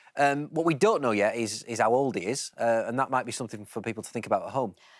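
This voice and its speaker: Speaking at a very fast pace, a man with a Yorkshire accent has a medium pitch. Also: ordinary pitch variation. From Yorkshire, England. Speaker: English teacher. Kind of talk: educational explanation.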